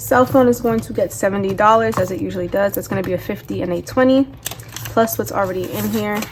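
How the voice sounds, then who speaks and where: Against noticeable background noise, a woman talks at a very fast pace. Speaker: budgeting vlogger. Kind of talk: casual vlog tutorial. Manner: casual chatty.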